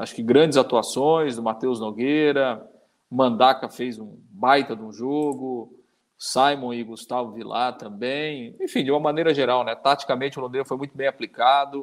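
A man's unremarkable speaking voice at medium pitch, fairly even in intonation and moderate in pace, on a very clean recording with a silent background. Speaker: sports podcast co-host. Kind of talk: casual sports chat.

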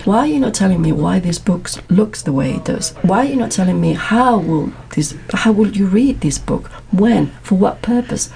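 A woman with a Spanish accent at a moderate pace amid noticeable background noise. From Madrid, Spain. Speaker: PhD student. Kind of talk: casual interview chat.

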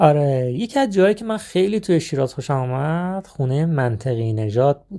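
Speaking at a moderate pace with hardly any pauses, a man uses a fairly high, dark, mellow voice that swings very widely in pitch. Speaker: travel storytelling podcaster. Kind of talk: personal travel storytelling.

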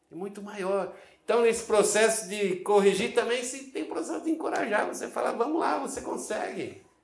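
The voice makes very wide pitch swings, and audible room echo surrounds it. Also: man. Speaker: pastor. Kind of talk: sermon.

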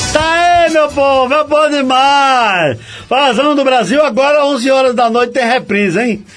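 A man's extremely high voice with ordinary pitch variation and very even loudness, at a fairly slow pace, with music in the background. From Paraíba, Brazil. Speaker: radio host. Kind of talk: radio show presenting. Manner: animated.

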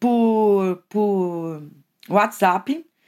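The recording is very clean and the background silent. It is a woman who speaks. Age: 50s. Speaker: art teacher. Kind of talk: casual chat.

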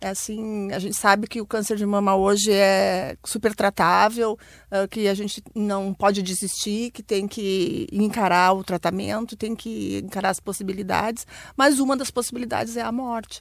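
With an ordinary speaking voice, a woman talks at a medium pitch and moderate pace, her intonation fairly even, in a very clean recording with a silent background. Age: 50s. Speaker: bank worker and entrepreneur. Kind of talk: radio panel discussion. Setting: studio.

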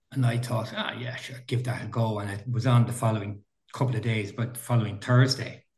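A somewhat breathy man with a Dublin accent, flat monotone intonation and a fairly quick pace. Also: medium pitch for a man. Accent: Irish, Dublin area. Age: 60s. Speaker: veteran mountain runner. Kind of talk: casual interview. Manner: halting.

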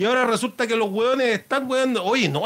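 A man with an extremely high pitch talks at a moderate pace. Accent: Chilean. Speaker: podcast host. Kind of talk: casual monologue. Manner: halting; animated.

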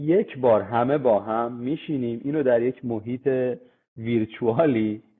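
Medium pitch and moderate pace from a man with a plain, everyday voice. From Iran, Tehran (east Tehran). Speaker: construction technology manager (VDC/BIM). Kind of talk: interview.

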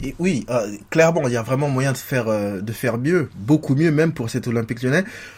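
A man speaks fairly quickly at a medium pitch. His voice is somewhat breathy, with ordinary pitch variation. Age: 30s. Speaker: football podcast host. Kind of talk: casual chat.

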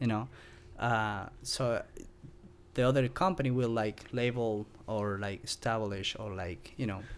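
Fairly slow, medium-pitched speech from a man with an Argentine accent, ordinary pitch variation and long, frequent pauses. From Argentina, Mendoza. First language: Spanish. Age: 30s. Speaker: chef and spice company founder. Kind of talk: casual interview chat. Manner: halting, non-native phrasing.

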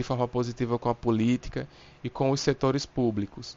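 At a moderate pace, a man with an unremarkable speaking voice and medium pitch keeps a fairly even intonation. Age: 20s. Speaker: civil engineer and law student, local political candidate. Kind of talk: prepared statement. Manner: formal.

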